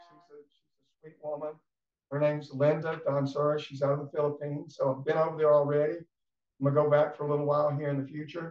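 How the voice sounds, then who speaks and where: A man's fairly high voice with an Alabama accent, very fast and flat, with big swings in loudness. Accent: Southern US (Alabama). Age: 60s. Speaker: former baseball player and sports writer. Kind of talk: casual chat. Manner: halting.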